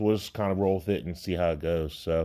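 On a very clean recording with a silent background, a man with a very deep, low voice speaks in a dark, mellow, relaxed tone with fairly even intonation. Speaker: podcast host. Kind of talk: casual podcast monologue. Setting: home basement. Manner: relaxed, with many filler words.

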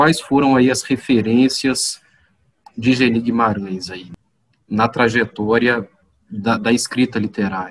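Speaking very slowly with long, frequent pauses, a man uses a medium pitch and fairly even intonation. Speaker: podcast host. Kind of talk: interview. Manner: formal.

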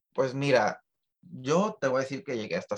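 A man speaks at a fairly quick pace. The sound is dry and close with no echo. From Tijuana, Mexico. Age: 30s. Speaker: musician. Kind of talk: interview.

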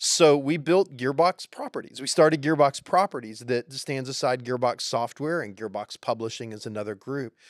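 A man uses a plain, everyday voice at medium pitch with ordinary pitch variation and big swings in loudness. The recording is very clean with a silent background, and the sound is dry and close with no echo. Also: moderate pace. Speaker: narrative development head at game studio. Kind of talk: casual interview conversation.

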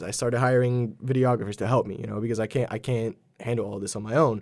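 A man at a very fast pace. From Poland. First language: Polish. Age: 20s. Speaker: videographer and media company owner. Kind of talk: casual chat. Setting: studio.

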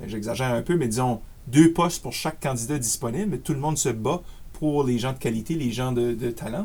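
A man's somewhat breathy, medium-pitched voice in an Acadian accent, with lively intonation at a moderate pace. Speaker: career coach. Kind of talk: interview.

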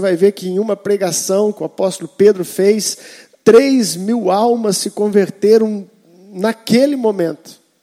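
Speaking at a fairly slow pace, a man has a Brazilian accent and ordinary pitch variation. The sound is dry and close, with no echo. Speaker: preacher. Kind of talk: sermon. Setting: church. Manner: animated, exhortative preaching with calls for 'amém' from the congregation.

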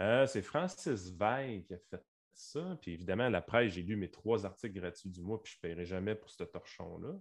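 Speaking at a moderate pace, a man has an unremarkable speaking voice, fairly low in pitch, with ordinary pitch variation. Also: quiet background. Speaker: podcast host. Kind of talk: casual chat.

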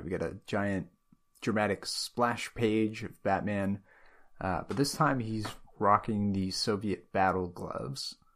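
A man with a fairly low voice is heard in a very clean recording with a silent background. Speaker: comics podcast co-host. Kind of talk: casual chat.

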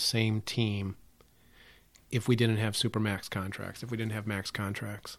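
A plain, everyday voice at a moderate pace, in a very clean recording with a silent background. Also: man. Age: 50s. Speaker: podcast host and marketing professor. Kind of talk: casual chat.

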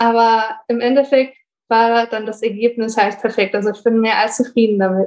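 Speaking at a moderate pace, a woman with a fairly high pitch holds a monotone, flat intonation. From Bonn, Germany. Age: 20s. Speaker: university student and working student. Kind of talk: casual interview chat.

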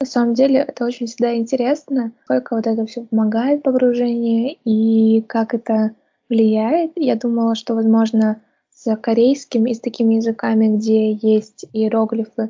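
A woman speaks at a moderate pace in a fairly high, somewhat breathy voice. Her intonation is monotone and flat. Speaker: podcast host. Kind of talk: casual interview chat.

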